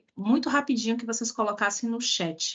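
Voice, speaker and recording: A woman speaks with a Bahian accent at a high pitch. Her pace is moderate and her pitch variation ordinary. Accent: Bahian Brazilian Portuguese, noticeable. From Bahia, Brazil (Salvador). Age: 30s. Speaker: diversity and inclusion specialist, speaker. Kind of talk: online talk/lecture with audience interaction.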